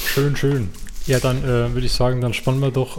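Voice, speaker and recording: A man's somewhat breathy, dark, mellow voice sits at a medium pitch and moves at a fairly quick pace with fairly even intonation. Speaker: podcast co-host. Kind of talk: casual chat.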